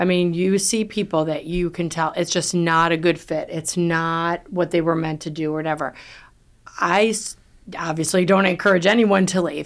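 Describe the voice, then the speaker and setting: At a moderate pace, a woman with a New York accent and fairly low pitch speaks on a very clean recording with a silent background. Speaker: real estate team leader. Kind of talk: podcast interview. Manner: loud.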